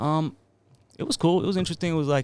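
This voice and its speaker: The speaker is a man. He has an American accent. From Australia, Sydney. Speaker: music producer and songwriter. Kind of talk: casual chat.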